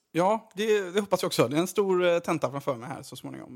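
A man's high voice at a fairly quick pace with ordinary pitch variation, on a very clean recording with a silent background. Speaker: junior doctor and podcast editor. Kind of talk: casual chat.

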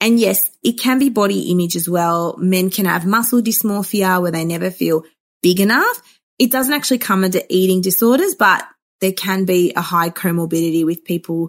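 On a very clean recording with a silent background, a woman with an Australian accent speaks at a moderate pace, a medium pitch and with ordinary pitch variation. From Melbourne, Australia. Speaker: psychologist. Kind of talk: interview.

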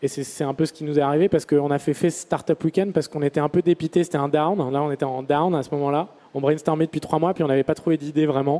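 In a dry, close recording with no echo, a man rattles along very fast with hardly any pauses, his dark, mellow voice fairly high in pitch and flat, monotone in intonation. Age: 30s. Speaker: startup founder. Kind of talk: talk to an audience. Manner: halting, many fillers and repetitions.

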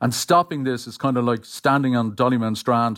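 In an Irish accent, a man talks at a medium pitch with fairly even intonation on a very clean recording with a silent background. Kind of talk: interview.

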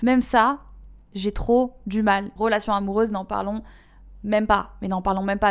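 A woman's medium-pitched voice in a flat, monotone delivery. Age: 20s. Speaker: podcast host. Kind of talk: casual monologue.

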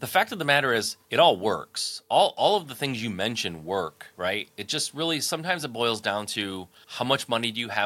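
The voice has an American accent and a bright, sharp tone. It moves along at a fairly quick pace. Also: man. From Michigan, US Midwest. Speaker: entrepreneur and business coach. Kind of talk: interview.

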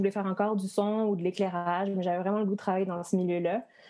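Speaking at a very fast pace, a woman delivers fairly even intonation at a medium pitch with a dark, mellow tone. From western France (Rochefort). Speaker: lighting designer. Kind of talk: casual chat. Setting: video call.

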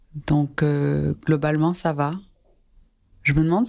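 Slowly, at a fairly slow pace, a woman speaks in a very deep, low pitch. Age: 40s. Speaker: listener sharing lockdown diary, student and nonprofit worker. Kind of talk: recorded personal testimony.

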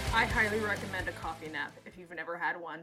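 A woman's fairly low voice with an American accent at a moderate pace, with music in the background. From Seattle, Washington. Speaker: podcast co-host and editor. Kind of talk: casual chat. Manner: filler-heavy, lots of 'like' and laughing.

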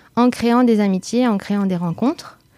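Against a silent background on a very clean recording, a woman talks at a moderate pace in a dark, mellow tone with ordinary pitch variation. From France, Bordeaux. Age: 30s. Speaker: association co-founder. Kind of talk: interview.

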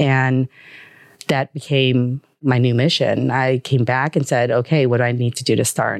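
With a Chicago accent, a woman speaks at a moderate pace in a very deep, low pitch, monotone and flat, her loudness very even and the sound dry and close with no echo. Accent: Chicago American English. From US Midwest, Chicago. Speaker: angel investor. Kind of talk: interview. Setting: studio.

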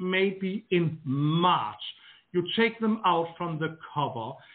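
With a Danish accent, a man speaks at a very slow pace in a high pitch, his intonation lively. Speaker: garden designer. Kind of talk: interview. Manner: halting, repeats words.

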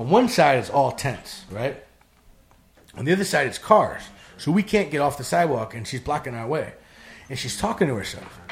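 A somewhat breathy man with an American accent talks with very wide pitch swings and big swings in loudness, leaving long, frequent pauses. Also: moderate pace. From Wisconsin, rural dairy farm. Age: 40s. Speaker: recovering addict. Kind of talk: personal testimony in casual chat.

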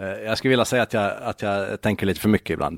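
A man with an unremarkable speaking voice and fairly low pitch talks at a fairly quick pace. The recording is very clean with a silent background and a dry, close sound with no echo. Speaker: local politician and blogger. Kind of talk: casual chat.

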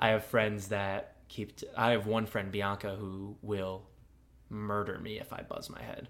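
Speaking fairly slowly in a fairly low, flat monotone, a man swings widely in loudness. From US Midwest. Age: 20s. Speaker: podcast host. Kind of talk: casual chat. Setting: studio.

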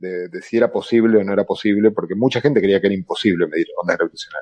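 A man speaks with an Argentine accent. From Argentina. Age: 50s. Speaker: theoretical physicist and popular science author. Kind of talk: panel discussion.

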